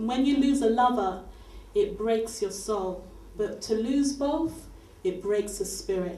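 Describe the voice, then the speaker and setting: A woman talks at a fairly slow pace with lively intonation. Room echo is audible and background noise noticeable. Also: fairly high pitch for a woman. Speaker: spoken word poet. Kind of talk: spoken word performance.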